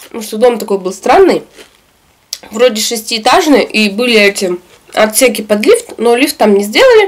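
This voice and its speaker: With lively intonation, the woman talks at a moderate pace. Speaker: eating vlogger. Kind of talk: casual vlog chat while eating. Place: home room.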